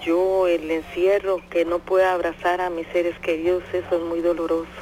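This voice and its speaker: A woman speaks at a moderate pace with a fairly low pitch. Noticeable background noise runs beneath her. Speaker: radio listener. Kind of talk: phone-in chat.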